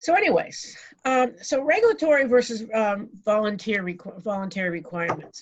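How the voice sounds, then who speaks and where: A woman's fairly high voice with very wide pitch swings and an American accent. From New England, Boston area. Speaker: food safety consultant speaker. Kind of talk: virtual presentation. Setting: video call from home. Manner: fast, rushing; halting, many fillers.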